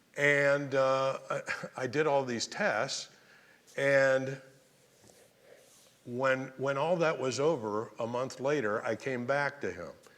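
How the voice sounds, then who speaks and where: A man at a medium pitch, very slow and broken by long, frequent pauses, with audible room echo. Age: 60s. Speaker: radio host. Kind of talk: church talk with anecdotes. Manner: animated.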